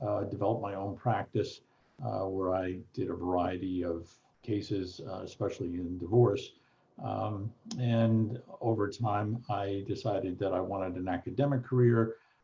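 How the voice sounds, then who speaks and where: A somewhat breathy man with an American accent keeps his intonation fairly even. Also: fairly low pitch for a man, moderate pace. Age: 60s. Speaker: retired law professor and mediator. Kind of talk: interview conversation.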